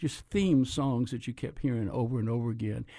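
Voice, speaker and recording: A man's medium-pitched, dark, mellow voice with an American accent, in a very clean recording with a silent background. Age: 80s+. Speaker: retired pastor. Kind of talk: interview about faith experience. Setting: TV studio. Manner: animated.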